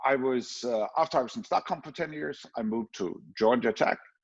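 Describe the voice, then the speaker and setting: A man with a slight Danish accent, medium pitch, lively intonation and a moderate pace. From Denmark. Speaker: professor. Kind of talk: conference talk. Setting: online conference with screen sharing. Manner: hesitant with filler words.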